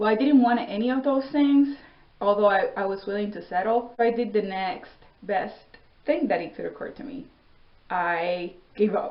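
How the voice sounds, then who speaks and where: Speaking with a non-native accent, a woman uses a fairly high pitch and ordinary pitch variation at a moderate pace. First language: not English. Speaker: vlogger, Air Force veteran. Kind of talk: personal storytelling monologue. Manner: casual, conversational.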